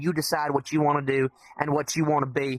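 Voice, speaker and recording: A man with a Southern US accent is heard in a dry, close sound with no echo, over noticeable background noise. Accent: southern drawl. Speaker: podcast guest, VR community member. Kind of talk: casual podcast chat. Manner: animated, repetitive stammering.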